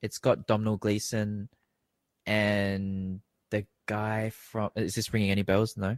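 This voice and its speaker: This man speaks at a fairly slow pace with a fairly low pitch. He takes long, frequent pauses. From Australia. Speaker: podcast guest. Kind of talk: casual chat. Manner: animated, rambling with many fillers.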